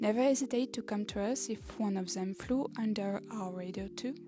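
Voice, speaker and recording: Fairly slow speech in a French accent, with music in the background. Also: woman. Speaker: podcast host. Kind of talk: podcast introduction, partly scripted monologue.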